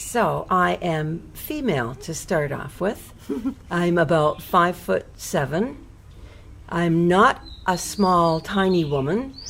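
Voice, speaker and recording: A woman speaks with a plain, everyday voice. Her pitch is fairly low, with ordinary variation. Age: 60s. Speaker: speaker describing herself for a listening exercise. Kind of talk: casual self-description.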